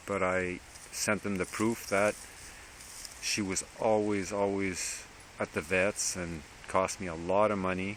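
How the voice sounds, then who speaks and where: A man with a Quebec accent speaks at a fairly slow pace in a very deep, low pitch, his intonation monotone and flat. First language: French. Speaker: dog rescuer vlogger. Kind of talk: casual vlog monologue. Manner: halting, with repetitions.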